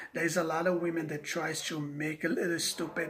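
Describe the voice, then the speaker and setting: This man speaks in a high pitch with a non-native accent. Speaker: vlogger. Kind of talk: rant to camera. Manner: halting, repeating words.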